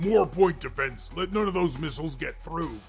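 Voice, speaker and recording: In a put-on character voice, a man talks at a moderate pace, high-pitched and raspy, over clear background noise. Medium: read story. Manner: bellowing, commanding.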